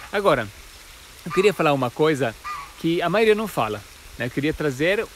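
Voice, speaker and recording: Against noticeable background noise, a man speaks with an Italian accent. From Italy. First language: Italian (speaking Portuguese). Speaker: spiritual teacher, alchemist. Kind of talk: casual explainer talk to camera. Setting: outdoors in nature. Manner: halting with frequent repetitions.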